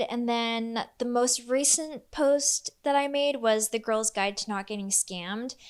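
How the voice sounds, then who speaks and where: A woman with an unremarkable speaking voice talks at a fairly high pitch and a fairly slow pace. Her pitch variation is ordinary, and the background is quiet. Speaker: lifestyle vlogger. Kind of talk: casual chat.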